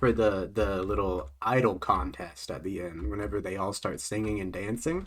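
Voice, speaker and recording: At a moderate pace, a man speaks in a bright, sharp tone on a very clean recording with a silent background. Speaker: streamer. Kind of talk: casual chat. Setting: live stream. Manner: loud.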